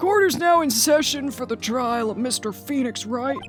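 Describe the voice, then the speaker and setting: Someone puts on a character voice, fairly high in pitch and at a moderate pace, with clear background noise behind it. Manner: formal, solemn.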